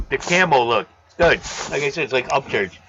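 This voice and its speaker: A loud man speaks at a moderate pace in a fairly high pitch. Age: 50s. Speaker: aquarium live streamer. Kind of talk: casual chat. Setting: live stream.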